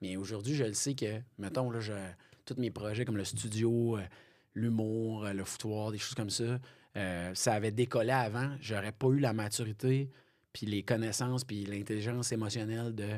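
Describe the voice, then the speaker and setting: The recording is very clean, with a silent background. A man with an unremarkable speaking voice and medium pitch speaks at a moderate pace with fairly even intonation. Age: 30s. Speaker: police officer and comedian. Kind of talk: casual interview chat. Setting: podcast studio.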